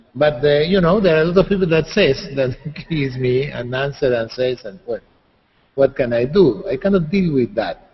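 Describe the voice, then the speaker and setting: Lively intonation marks this man's fairly high-pitched voice. He sounds somewhat breathy and keeps a moderate pace. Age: 60s. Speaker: writer and psychologist. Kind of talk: interview. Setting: video call. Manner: halting, repetitive.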